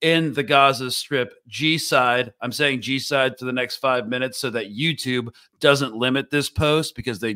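A man's bright, sharp tone at a fairly slow pace, with ordinary pitch variation and a quiet background. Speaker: podcast host. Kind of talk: introducing a guest, casual podcast talk. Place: home room. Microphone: studio mic.

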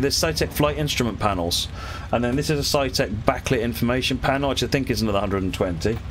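Over light background noise, a man with a British accent talks at a fairly quick pace with lively intonation. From UK. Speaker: gaming streamer. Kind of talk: live-stream commentary while gaming. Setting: home streaming setup. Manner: casual, chatty. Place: home room.

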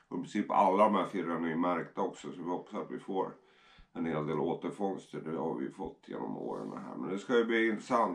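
The speech moves at a moderate pace with vocal fry and ordinary pitch variation. The background is quiet. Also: man. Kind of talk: casual explanation to camera. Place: home room. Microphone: camera far.

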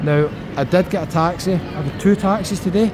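A man talks with ordinary pitch movement while noticeable background noise carries on. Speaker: travel vlogger. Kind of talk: casual vlog chat. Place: hall. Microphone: phone near.

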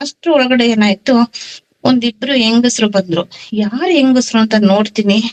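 A woman with a plain, everyday voice, fairly high in pitch with ordinary pitch variation, keeps her loudness very even in a dry, close sound with no echo. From Karnataka, small town near Chikmagalur. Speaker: devotee sharing experiences. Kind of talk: testimony.

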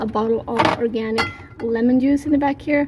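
At a fairly quick pace, a woman with a high pitch and fairly even intonation talks over noticeable background noise. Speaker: home cook vlogger. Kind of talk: casual vlog chat. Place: kitchen. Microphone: phone near.

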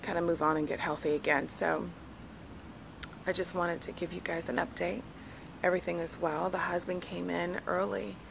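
Through noticeable background noise, a woman with a very deep, low pitch talks at a fairly quick pace with very wide pitch swings. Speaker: vlogger mom. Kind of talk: casual vlog chat. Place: garden. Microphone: phone near.

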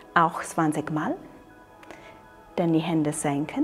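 Calm tone at a very slow pace, with faint music in the background. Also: woman. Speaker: qigong instructor. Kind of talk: exercise tutorial instruction. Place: open country. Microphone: lapel.

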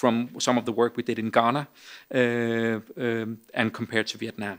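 A man talks at a moderate pace with a quiet background. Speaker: speaker. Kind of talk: Q&A answer at a conference. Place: hall. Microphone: podium.

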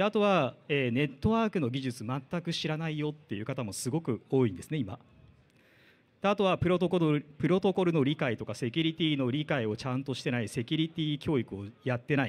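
A man speaks at a fairly quick pace in a plain, everyday voice, fairly high-pitched, with lively intonation. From Japan. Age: 40s. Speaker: IT division manager; conference speaker. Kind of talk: lightning talk. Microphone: handheld.

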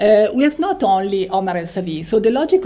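A woman at a fairly quick pace. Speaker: seminar moderator. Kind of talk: formal introduction. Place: hall. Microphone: podium.

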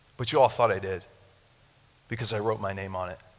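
Talking at a very fast pace, a man with an American accent keeps an animated tone. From Japan (missionary kid). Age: 30s. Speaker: pastor. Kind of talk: sermon. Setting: church with live audience. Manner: animated, conversational. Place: church. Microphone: headset.

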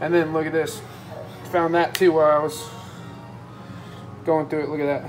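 Faint music plays in the background. Over it, a woman with a fairly low voice talks at a fairly quick pace. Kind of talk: tutorial. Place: kitchen. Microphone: phone near.

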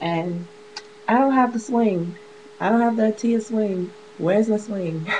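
A woman with a fairly high pitch talks at a fairly slow pace with ordinary pitch variation and long, frequent pauses over noticeable background noise. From Chicago. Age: 20s. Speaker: beauty vlogger; vlogger. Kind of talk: casual vlog monologue. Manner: chatty, rambling with fillers and laughs. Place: home room. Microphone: webcam.

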